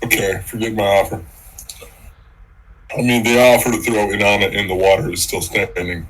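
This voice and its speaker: In a put-on character voice, a man speaks raspy and fairly low-pitched at a moderate pace, leaving long, frequent pauses. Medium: actual play.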